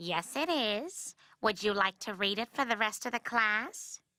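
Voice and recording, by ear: A woman performs a cartoonish character voice at a fairly high pitch and a moderate pace. The sound is dry and close with no echo, on a very clean recording with a silent background.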